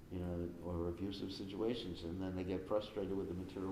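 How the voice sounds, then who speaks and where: A man with a very deep, low pitch talks at a very fast pace. Audible room echo and noticeable background noise surround his voice. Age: 70s. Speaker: spiritual teacher. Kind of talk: question and answer session. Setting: live stream. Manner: conversational, many fillers.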